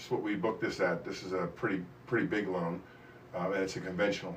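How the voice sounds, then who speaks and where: A man's voice with audible room echo. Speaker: mortgage loan officer. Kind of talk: live stream Q&A. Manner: fast; casual rambling.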